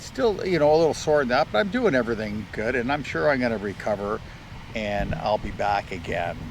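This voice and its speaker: A man with a Canadian accent speaks at a fairly quick pace with lively intonation. Noticeable noise sits in the background. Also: medium pitch for a man. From Canada (Ontario). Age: 60s. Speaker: retired vlogger. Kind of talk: casual chat. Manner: halting.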